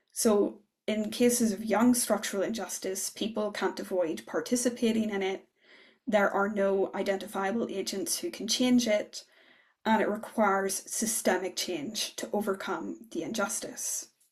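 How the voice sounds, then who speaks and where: At a moderate pace, a woman with a Northern Irish accent speaks in a somewhat breathy voice of medium pitch, with ordinary pitch variation. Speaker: political philosopher. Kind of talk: academic lecture.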